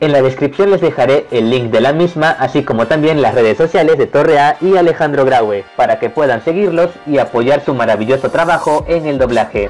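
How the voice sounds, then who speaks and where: Noticeable background noise sits behind a man whose fairly high voice carries lively intonation. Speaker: anime YouTuber. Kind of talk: casual talk to camera.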